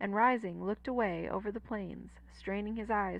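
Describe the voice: The clip offers plain reading aloud, its pitch variation ordinary.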